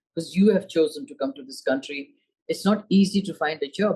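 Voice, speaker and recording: Somewhat breathy and fairly low in pitch, a woman with a Pashto accent speaks at a fairly quick pace. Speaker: senator. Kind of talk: interview. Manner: casual conversational.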